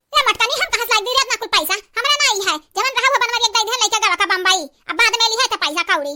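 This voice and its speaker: In a put-on character voice, a woman talks very fast at an extremely high pitch with lively intonation. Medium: comedy sketch. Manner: sly, self-justifying.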